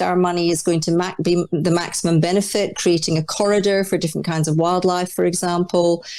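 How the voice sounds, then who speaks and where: A woman speaks with a Scottish accent in a dark, mellow tone. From Scotland (Dundee, Orkney). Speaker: arts leader. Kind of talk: interview.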